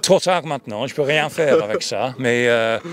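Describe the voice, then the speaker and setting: A man with a non-native accent speaks at a fairly slow pace over noticeable background noise. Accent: foreign accent in French. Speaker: retired sports journalist. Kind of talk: interview.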